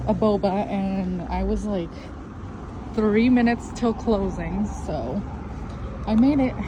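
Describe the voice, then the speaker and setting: A woman's fairly high voice with ordinary pitch variation, amid audible room echo and noticeable background noise. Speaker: stay-at-home mom vlogger. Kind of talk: casual vlog narration. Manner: quiet, hushed.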